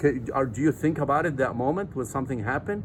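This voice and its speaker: A somewhat breathy man talks with a non-native accent. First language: not English. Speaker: nutrition supplement seller and vlogger. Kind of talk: casual vlog talk to camera. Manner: halting with fillers.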